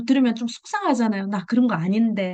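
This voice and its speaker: A woman with a Busan accent. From Busan, South Korea. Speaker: direct sales seller sharing tips. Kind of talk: presentation in an online meeting. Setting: video call. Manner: conversational, with fillers.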